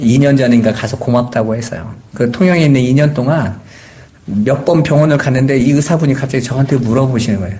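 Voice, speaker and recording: Noticeable background noise and audible room echo surround this recording. A man speaks fairly quickly at a medium pitch with ordinary pitch variation. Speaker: pastor. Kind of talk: sermon. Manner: conversational.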